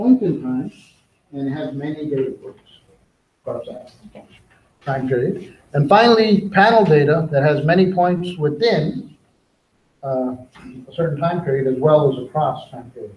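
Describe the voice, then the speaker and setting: With audible room echo, a man speaks in lively intonation and big swings in loudness. He leaves long, frequent pauses. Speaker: teacher. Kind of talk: lecture. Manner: fast.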